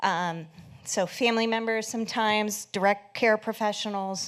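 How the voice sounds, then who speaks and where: On a very clean recording with a silent background, a woman with a plain, everyday voice speaks at a fairly slow pace with ordinary pitch variation. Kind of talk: conference presentation.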